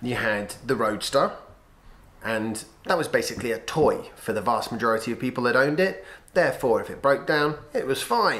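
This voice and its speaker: The pace is moderate. A man talks with a British accent. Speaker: vlogger. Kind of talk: casual vlog monologue.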